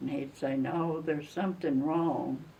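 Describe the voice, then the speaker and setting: A woman with a very deep, low pitch speaks at a very slow pace, with audible room echo. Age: 90s. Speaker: elderly woman telling her life story. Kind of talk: personal reminiscence. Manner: informal, folksy.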